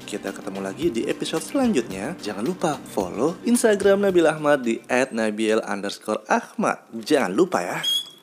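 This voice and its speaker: Over noticeable background noise, a man talks at a moderate pace and a fairly high pitch with very wide pitch swings and hardly any pauses. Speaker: podcaster. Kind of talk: solo casual monologue, personal storytelling. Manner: casual, rambling, filler words.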